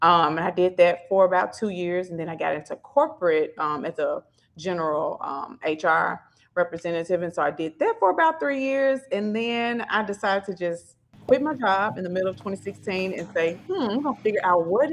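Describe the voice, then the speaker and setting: A woman's medium-pitched voice in a Memphis accent, fairly quick and lively in intonation, against a quiet background. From Memphis, Tennessee (US South). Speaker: staffing company founder. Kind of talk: podcast interview.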